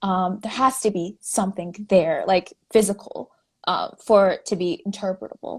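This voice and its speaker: The woman's intonation is fairly even. Her voice sounds somewhat breathy. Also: medium pitch for a woman, moderate pace. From Navajo Nation, New Mexico (Farmington). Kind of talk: interview. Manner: halting, many fillers.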